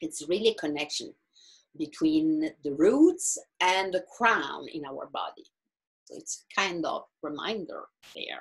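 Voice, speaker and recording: A woman speaks in an Italian accent at a fairly slow pace. Her loudness swings widely. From Italy. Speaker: astrologer and meditation guide. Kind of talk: talk to online group. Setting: video call. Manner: halting.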